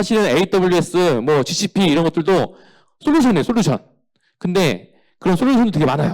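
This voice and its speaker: The speech runs at a very fast pace with lively intonation, broken by long, frequent pauses. Its loudness stays very even throughout. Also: man, high pitch for a man. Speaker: company CEO giving a career seminar. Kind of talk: lecture.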